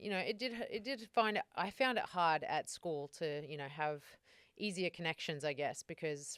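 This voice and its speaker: Her voice is very deep and low in pitch, with ordinary pitch variation, recorded with a dry, close sound and no echo. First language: Macedonian. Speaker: gym owner and online coach. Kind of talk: interview.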